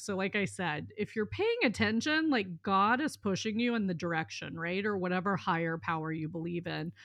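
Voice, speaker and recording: A woman with a normal speaking voice and an American accent, at a medium pitch and moderate pace, with ordinary pitch variation. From US South, southern Mississippi. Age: 40s. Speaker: life coach, former attorney. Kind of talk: casual interview.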